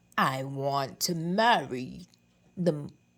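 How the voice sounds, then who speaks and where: Putting on a character voice, a woman speaks with a very deep, low pitch. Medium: read story.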